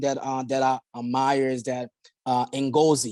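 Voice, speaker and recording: A man speaks with a Haitian accent. The sound is dry and close, with no echo. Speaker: insurance agency owner. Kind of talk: podcast interview.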